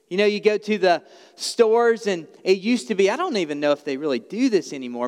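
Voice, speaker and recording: A man with an Alabama accent talks at a fairly quick pace with very wide pitch swings. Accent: Southern US (Alabama). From US South, small-town Alabama. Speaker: pastor. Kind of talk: sermon.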